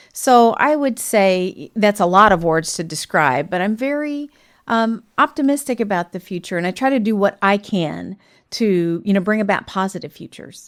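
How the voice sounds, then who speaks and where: A woman talks at a moderate pace with lively intonation and a medium pitch. The recording is very clean, with a silent background. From United States (immigrated from India as a small child). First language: non-English Indian language (English is her third). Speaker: college president. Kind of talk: podcast interview.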